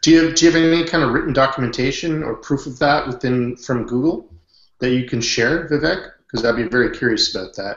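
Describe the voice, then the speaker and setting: A man with a Canadian accent at a medium pitch, fairly quick, with ordinary pitch variation, a quiet background and audible room echo. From western Canada. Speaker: online business consultant; hangout host. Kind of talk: group video chat. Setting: video call. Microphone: webcam.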